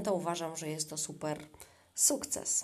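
At a fairly slow pace, a woman speaks. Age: 40s. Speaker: podcaster. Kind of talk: casual monologue. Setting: in a bathtub at home.

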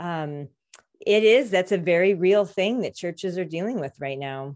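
Against a quiet background, a woman in an unremarkable speaking voice talks at a moderate pace and medium pitch, with lively intonation. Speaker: podcast host. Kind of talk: casual conversation, hosting a group call. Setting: group video call. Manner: upbeat, warm.

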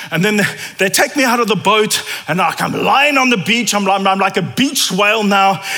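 A man speaks in a high pitch, his voice raised and projected with very even loudness at a moderate pace. There is audible room echo and noticeable background noise. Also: ordinary pitch variation. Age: 40s. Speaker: preacher. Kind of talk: sermon. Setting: church.

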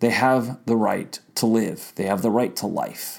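With an American accent, a man speaks at a fairly slow pace in an unremarkable speaking voice, medium in pitch with ordinary pitch variation. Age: 40s. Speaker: political podcast host. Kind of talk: solo political commentary podcast.

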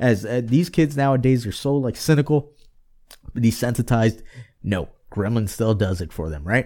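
On a very clean recording with a silent background, a man speaks at a moderate pace with long, frequent pauses. His medium-pitched voice has a dark, mellow tone and lively intonation. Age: 30s. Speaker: podcast co-host. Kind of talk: casual chat.

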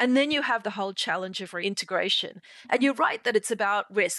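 A woman with an Australian accent speaks at a medium pitch with ordinary pitch variation and a bright, sharp tone. The sound is dry and close with no echo, over a quiet background. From Sydney, Australia. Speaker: podcast host. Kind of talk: casual interview. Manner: laughs often.

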